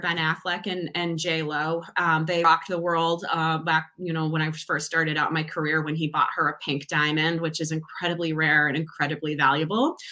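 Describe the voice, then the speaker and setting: A woman with an American accent speaks at a fairly quick pace and fairly low pitch. Her intonation is fairly even, and there is noticeable background noise. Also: hardly any pauses. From Massachusetts, near Boston. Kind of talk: casual interview.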